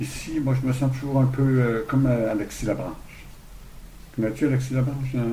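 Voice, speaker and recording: The speech moves at a fairly quick pace in a monotone, flat intonation, with long, frequent pauses. Audible room echo surrounds it. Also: man, medium pitch for a man. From Quebec, Saguenay–Lac-Saint-Jean. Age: 60s. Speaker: hostel owner. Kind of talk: interview. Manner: halting, many repetitions.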